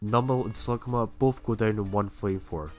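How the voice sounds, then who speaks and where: A man's fairly low-pitched voice at a moderate pace, with music in the background. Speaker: gaming video creator. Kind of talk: game commentary narration.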